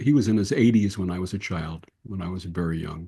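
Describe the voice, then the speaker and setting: A man's dark, mellow tone comes through against a quiet background. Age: 70s. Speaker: interfaith minister and podcast host. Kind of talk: interview conversation.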